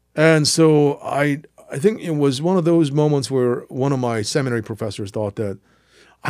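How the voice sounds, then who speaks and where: In a very clean recording with a silent background, a man with a Korean accent speaks at a moderate pace in a medium pitch with lively intonation. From South Korea, then US from mid-teens. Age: 50s. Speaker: history professor. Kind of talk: interview. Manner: halting.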